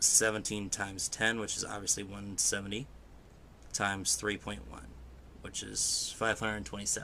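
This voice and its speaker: Mumbling at a moderate pace, a man with a fairly low pitch has a bright, sharp tone. His pitch variation is ordinary. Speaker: gaming video host. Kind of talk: let's play commentary. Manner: soft-spoken.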